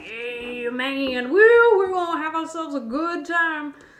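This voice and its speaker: Putting on a gruff character voice at an extremely high pitch, a woman speaks at a fairly slow pace. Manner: laid-back, cheerful, hearty.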